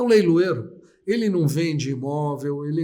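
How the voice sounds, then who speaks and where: A man is heard with audible echo from the room. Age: 60s. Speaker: auctioneer. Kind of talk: interview. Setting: live stream.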